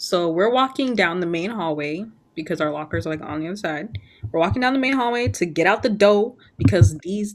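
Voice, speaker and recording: A woman's normal speaking voice, fairly low in pitch, with lively intonation at a fairly quick pace. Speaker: podcast host. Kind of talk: casual chat.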